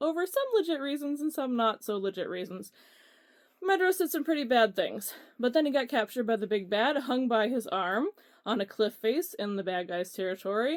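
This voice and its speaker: A woman with an Ohio accent, high-pitched, at a fairly quick pace with very wide pitch swings. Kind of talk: casual talk to camera.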